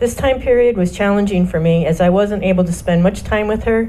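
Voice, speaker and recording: With an American accent, a woman speaks at a moderate pace and medium pitch with ordinary pitch variation, amid audible room echo and noticeable background noise. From US Midwest, Michigan. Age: 60s. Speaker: church member, singer, mother. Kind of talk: reading aloud a personal testimony. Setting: church service with microphone.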